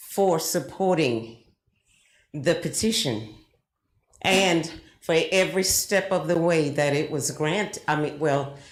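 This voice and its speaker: With long, frequent pauses, a woman in an American accent speaks very slowly at a fairly low pitch with ordinary pitch variation, and audible room echo can be heard. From South Florida, US South. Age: 70s. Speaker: resident speaking at public comment. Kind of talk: public comment. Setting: city commission meeting.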